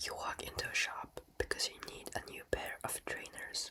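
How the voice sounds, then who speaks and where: Noticeable background noise surrounds a fairly slow whisper. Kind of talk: educational ASMR explainer. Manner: whispered; soft, slow, relaxing.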